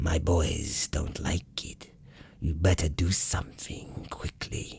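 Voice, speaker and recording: A man whispering in a put-on character voice at a fairly slow pace. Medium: read story. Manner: blunt, gruff.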